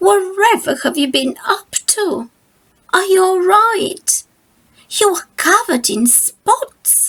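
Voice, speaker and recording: Using a put-on character voice, a woman speaks at an extremely high pitch with very wide pitch swings, at a fairly slow pace with long, frequent pauses. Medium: read story.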